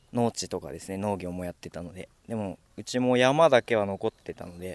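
Dry and close with no echo, a man talks at a fairly quick pace. He has a fairly low pitch and an ordinary speaking voice. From Minamisanriku, Miyagi (Tohoku, Japan). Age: 20s. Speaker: young forestry worker. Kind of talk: interview.

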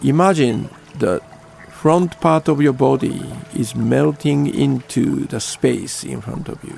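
Music plays in the background as a voice with a Japanese accent moves at a very slow pace, its loudness swinging widely. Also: man. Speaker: Zen priest and radio host. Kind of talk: guided meditation. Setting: studio. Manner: slow, calm, gentle, unhurried; halting, with fillers.

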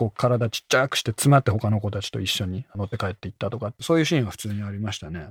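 The intonation is lively, and the very clean recording has a silent background and a dry, close sound with no echo. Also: man. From Japan, Tottori. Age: 30s. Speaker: author and language coach. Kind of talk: radio interview. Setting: studio.

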